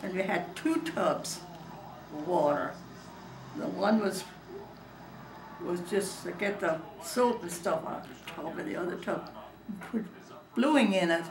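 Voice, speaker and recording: A woman with medium pitch and lively intonation speaks at a fairly slow pace, with long, frequent pauses. Noticeable background noise and audible room echo are present. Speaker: elderly relative recalling childhood. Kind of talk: oral history interview. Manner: halting.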